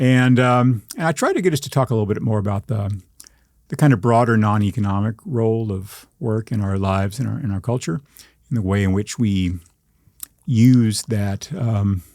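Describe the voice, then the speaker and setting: In a very clean recording with a silent background, a man with an American accent and an unremarkable speaking voice talks at a moderate pace, his fairly low pitch showing ordinary variation. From Texas panhandle. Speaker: journalist and writer. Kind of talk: interview.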